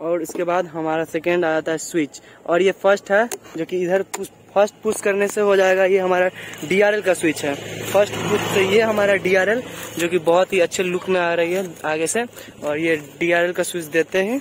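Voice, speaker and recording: At a moderate pace, a man with a high pitch talks with fairly even intonation in a dry sound with no echo, over light background noise. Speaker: vehicle reviewer. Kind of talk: product review walkthrough. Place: street.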